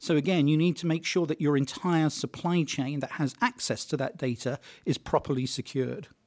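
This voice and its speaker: A man with a British accent speaks at a fairly high pitch, with ordinary pitch variation and a dry, close sound with no echo. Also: fairly quick pace, very clean recording, silent background. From Britain. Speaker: tech journalist. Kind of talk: interview. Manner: hesitant, many fillers.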